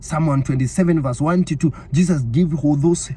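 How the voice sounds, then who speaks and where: The tone is animated, with noticeable background noise. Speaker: online preacher. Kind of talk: sermon.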